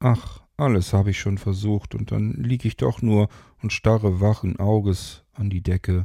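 A natural voice reading aloud, its intonation fairly level

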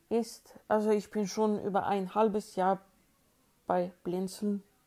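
A woman's dark, mellow voice at a medium pitch moves at a very slow pace in a flat monotone. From Sweden, Uppsala. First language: Swedish (speaking German). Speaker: sound engineer. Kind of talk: interview.

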